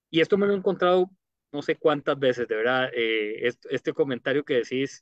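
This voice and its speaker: Speaking at a moderate pace with a Costa Rican accent, a man is heard against a quiet background. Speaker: mayoral candidate, former TV personality; candidate. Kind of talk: interview. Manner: halting. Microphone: studio mic.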